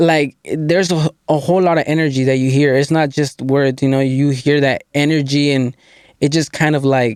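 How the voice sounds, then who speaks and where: A man with an American accent speaks fairly high in a monotone, flat delivery, with very even loudness and a dry, close sound without echo. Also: moderate pace. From Mount Vernon, Washington. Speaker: reggaeton and hip hop artist. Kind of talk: casual interview. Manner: casual, filler-heavy.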